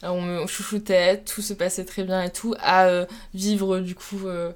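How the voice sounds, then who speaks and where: Amid noticeable background noise, a woman speaks at a moderate pace and medium pitch in a monotone, flat intonation. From France, Troyes (Champagne). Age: 20s. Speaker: student athlete, rower. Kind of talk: casual interview. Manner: hesitant, many fillers.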